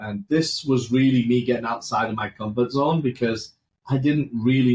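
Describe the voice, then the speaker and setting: A somewhat breathy voice moves along at a moderate pace. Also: man. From England. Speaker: finance firm founder. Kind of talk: interview.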